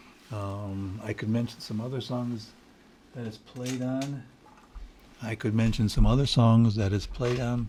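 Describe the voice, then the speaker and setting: A man with a Detroit accent speaks at medium pitch in a dark, mellow tone. His pace is fairly slow with long, frequent pauses, and audible room echo surrounds him. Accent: Midwestern US (Detroit). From Michigan, Detroit area. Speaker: home studio musician. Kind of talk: casual solo video talk. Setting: home studio. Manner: halting, many fillers and repeats.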